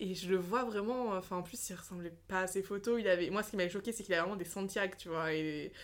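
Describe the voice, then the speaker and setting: This woman talks at a very fast pace. Her pitch sits in the middle range. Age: 20s. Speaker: social media creator. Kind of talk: casual chat. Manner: animated.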